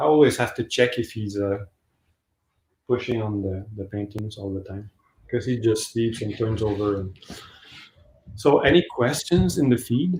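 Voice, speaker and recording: A man with a Quebec accent, fairly low in pitch and somewhat breathy, at a moderate pace with long, frequent pauses. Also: ordinary pitch variation. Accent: Québécois French accent in English. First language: French. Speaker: painter. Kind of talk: livestream sale of own artworks. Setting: live video stream from home basement. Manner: halting, many fillers.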